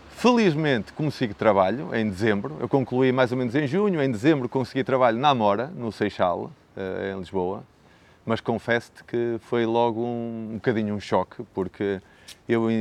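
A man with an unremarkable speaking voice talks at a moderate pace, his medium pitch showing ordinary variation. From northern Portugal (Braga district, Minho). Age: 40s. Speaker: teacher and real estate agent. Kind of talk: interview.

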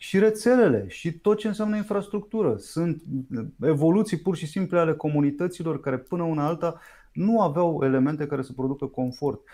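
A man's high, dark, mellow voice with lively intonation at a fairly quick pace, on a very clean recording with a silent background. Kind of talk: interview.

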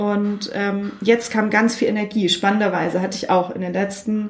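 Against noticeable background noise, a woman speaks at a fairly high pitch. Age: 30s. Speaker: podcaster. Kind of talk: casual chat.

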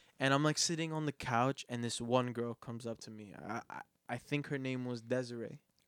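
Here a man has a normal speaking voice at a medium pitch, moving at a fairly quick pace. His intonation is fairly even, but his loudness swings widely. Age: 20s. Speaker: podcast host. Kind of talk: casual chat.

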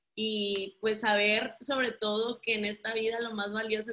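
A woman speaks at a fairly slow pace. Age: 30s. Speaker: guest, married mother. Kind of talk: casual chat.

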